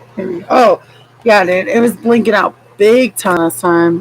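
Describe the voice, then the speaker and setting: Over noticeable background noise, a woman speaks in an animated tone. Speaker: vlogger. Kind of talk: casual chat.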